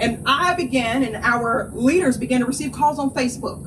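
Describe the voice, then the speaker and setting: Over noticeable background noise and audible room echo, a high-pitched woman with a North Carolina accent speaks in an animated tone. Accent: Southern rural North Carolina. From North Carolina, Appalachia. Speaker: nonprofit co-founder and environmental justice advocate. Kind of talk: public speech at press conference.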